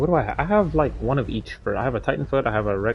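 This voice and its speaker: With a non-native accent, a man speaks at a fairly quick pace. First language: not English. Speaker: gaming streamer. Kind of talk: live gameplay stream chat. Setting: live stream. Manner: hesitant, many fillers.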